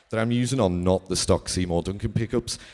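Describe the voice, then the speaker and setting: A man speaks with a strong Liverpool accent in a very deep, low pitch with ordinary pitch variation. The recording is very clean, with a silent background. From Liverpool, England. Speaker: guitarist. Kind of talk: masterclass. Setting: stage with audience. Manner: casual.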